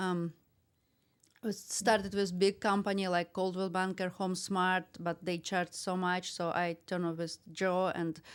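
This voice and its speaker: In a Russian accent, a woman speaks at a fairly slow pace. The recording is very clean, with a silent background. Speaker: realtor and investor. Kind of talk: podcast interview. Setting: studio. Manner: halting.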